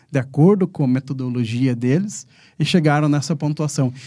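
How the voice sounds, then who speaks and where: Dark, mellow voice of a man with a fairly high pitch and ordinary pitch variation, on a very clean recording with a silent background. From Ponta Grossa, Paraná, Brazil. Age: 40s. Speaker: coffee company director. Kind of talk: interview.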